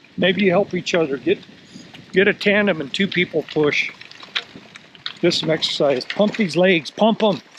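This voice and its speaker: Amid noticeable background noise, a man with a high pitch speaks at a moderate pace with ordinary pitch variation and long, frequent pauses. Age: 60s. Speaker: vlogger. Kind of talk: casual vlog talk to camera. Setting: outdoors. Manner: animated.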